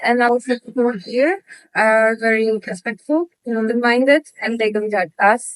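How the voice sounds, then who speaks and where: A high-pitched woman's voice in a Polish accent, dry and close with no echo. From Poland, small town. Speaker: model. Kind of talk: interview.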